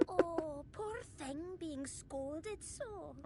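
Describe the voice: The voice is a put-on character voice at an extremely high pitch. Loud background noise fills the recording.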